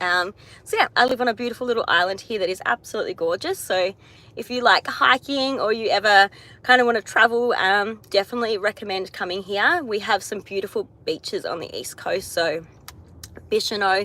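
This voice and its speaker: With an Australian accent, a woman speaks at a fairly quick pace and medium pitch, her tone bright and sharp and her pitch varying in an ordinary way. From Australia, Tasmania. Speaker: astrologer. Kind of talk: live stream chat. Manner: casual, hesitant with many fillers.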